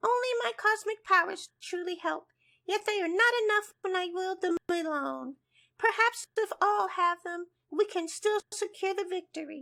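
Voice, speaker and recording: A squeaky, cartoonish character voice at an extremely high pitch. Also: moderate pace. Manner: formal, earnest.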